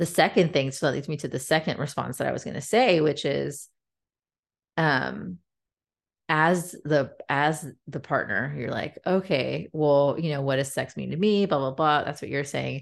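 An American-accented woman with very deep, low pitch and vocal fry, at a moderate pace with ordinary pitch variation, against a quiet background. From US, San Francisco Bay Area. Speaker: podcast co-host. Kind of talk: casual chat.

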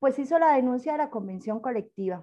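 The voice has a dark, mellow tone and ordinary pitch variation, set against a quiet background. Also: woman. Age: 40s. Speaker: university administrative secretary and council candidate. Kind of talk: interview.

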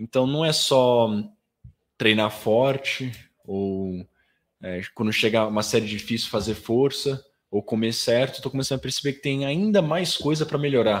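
With ordinary pitch variation and a moderate pace, a normal speaking voice comes through on a very clean recording against a silent background. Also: man, medium pitch for a man. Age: 20s. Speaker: professional swimmer. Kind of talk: casual chat. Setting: studio.

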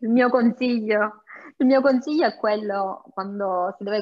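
At a moderate pace, a woman speaks in an ordinary speaking voice. Her pitch is medium and her intonation is lively. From Sicily. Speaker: home cook and food blogger. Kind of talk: interview.

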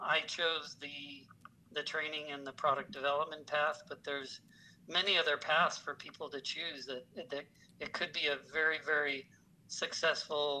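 A man with an American accent, fairly high-pitched with a bright, sharp tone, at a moderate pace. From US Michigan and California. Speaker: auto detailing trainer. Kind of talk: casual interview chat.

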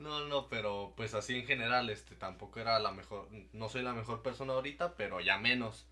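A man at medium pitch, fairly quick pace and ordinary pitch variation, with noticeable background noise. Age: young. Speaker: podcast guest, former schoolmate. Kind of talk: casual chat.

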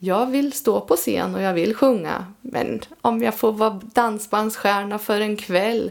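A woman's fairly high voice at a very slow pace, over noticeable background noise. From Östergötland, Sweden. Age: 50s. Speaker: amateur singer-songwriter. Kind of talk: casual interview chat. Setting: home studio.

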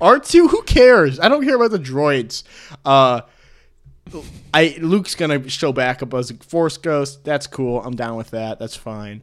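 In a very clean recording with a silent background, a man with a plain, everyday voice speaks fairly slowly at a fairly high pitch, his intonation lively and his loudness swinging widely. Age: 20s. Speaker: sports podcast host. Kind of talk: casual chat. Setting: studio.

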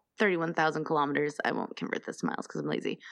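A woman talks with an American accent and vocal fry. The background is quiet. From US, Colorado (Denver). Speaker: podcaster. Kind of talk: reading researched notes aloud; casual chat.

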